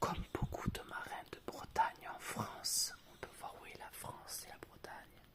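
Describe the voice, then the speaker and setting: Whispering at a fairly slow pace amid noticeable background noise. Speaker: former primary school worker. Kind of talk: ASMR read-aloud for children. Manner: whispered.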